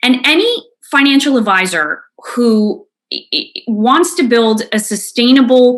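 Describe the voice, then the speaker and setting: With a bright, sharp tone, a woman speaks in an American accent and lively intonation. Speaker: financial industry consultant. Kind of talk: presentation to financial advisors. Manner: frequent repetitions and self-corrections.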